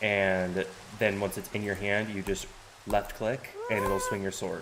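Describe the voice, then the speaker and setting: A man speaks at a fairly slow pace in a monotone, flat intonation, with noticeable background noise behind him. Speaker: game streamer. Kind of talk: live gameplay tutorial. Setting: live stream. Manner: hesitant, many fillers.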